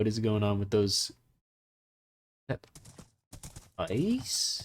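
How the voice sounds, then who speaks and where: The man talks with a very slow pace. His voice sits fairly low. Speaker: gaming youtuber. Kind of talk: gameplay commentary. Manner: monotone; halting.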